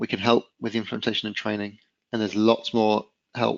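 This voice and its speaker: A man speaks at a medium pitch. His pace is fairly quick. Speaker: webinar presenter. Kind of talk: webinar presentation. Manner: fast.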